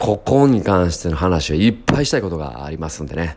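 Very deep, low male speech at a fairly quick pace. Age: 30s. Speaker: music producer and podcaster. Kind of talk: casual solo monologue.

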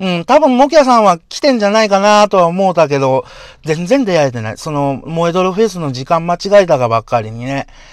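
A man's high, animated voice at a fairly quick pace, with very wide pitch swings and big swings in loudness. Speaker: podcaster. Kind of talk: casual monologue.

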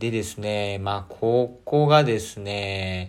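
The man's voice is fairly low in pitch. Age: 20s. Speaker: podcaster. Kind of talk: casual solo talk. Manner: animated.

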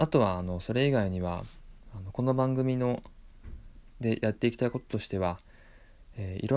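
On a very clean recording with a silent background, a man speaks in a calm tone. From Japan, Tottori Prefecture. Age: 30s. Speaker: podcast host. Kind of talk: solo monologue.

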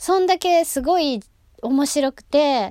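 In a Kansai accent, a woman speaks in an animated tone, the sound dry and close with no echo. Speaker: actress and gravure model hosting a solo talk podcast. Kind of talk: solo casual monologue.

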